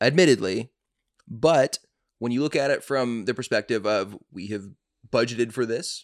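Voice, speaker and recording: With an American accent, a man talks at a moderate pace in a medium pitch, using ordinary pitch variation and taking long, frequent pauses. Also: dry, close sound with no echo. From US South, Atlanta, Georgia. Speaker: podcast host. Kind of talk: casual chat.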